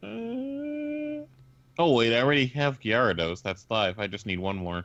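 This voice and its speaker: The voice moves at a fairly slow pace with a quiet background. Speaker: streamer and animator. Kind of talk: casual live stream chat. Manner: halting, many fillers.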